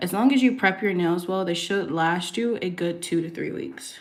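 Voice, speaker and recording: Amid audible room echo, a soft-spoken woman talks fairly slowly at a fairly low pitch. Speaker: nail artist. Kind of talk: livestream tutorial chat. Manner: casual with fillers.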